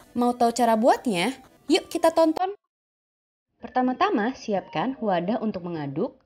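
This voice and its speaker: Music plays in the background as a woman speaks at a moderate pace. Her high voice makes very wide pitch swings. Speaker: DIY craft YouTuber. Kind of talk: tutorial.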